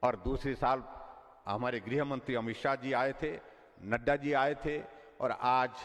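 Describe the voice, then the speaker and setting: Pausing long and often, a man speaks with a medium pitch and fairly even intonation. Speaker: politician, state chief minister. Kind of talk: public political speech. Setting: outdoor public rally, PA system.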